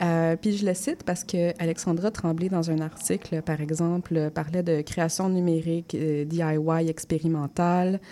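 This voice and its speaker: In a Quebec accent, the speaker talks at a fairly slow pace with a dark, mellow tone, monotone, flat intonation, very even loudness and hardly any pauses. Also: woman, fairly low pitch for a woman. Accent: Québécois French. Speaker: community radio host. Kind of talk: radio interview.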